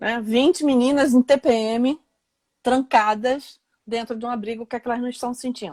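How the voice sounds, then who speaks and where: Her high-pitched voice moves at a moderate pace with fairly even intonation but big swings in loudness. The woman's recording sounds dry and close with no echo. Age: 60s. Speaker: lawyer and law professor. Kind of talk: live interview. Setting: Instagram live video call.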